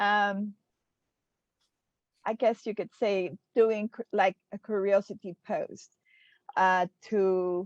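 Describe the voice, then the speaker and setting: A woman's medium-pitched voice with a non-native accent, very slow and broken by long, frequent pauses, fairly even in intonation, in a dry, close sound with no echo. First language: not English. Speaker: social media marketer. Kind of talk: group discussion. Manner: halting, many fillers.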